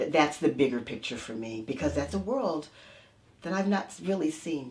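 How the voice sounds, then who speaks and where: A woman's very deep, low voice in an American accent, at a moderate pace, with very wide pitch swings and big swings in loudness. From United States. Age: 60s. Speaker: energy healer. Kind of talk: interview.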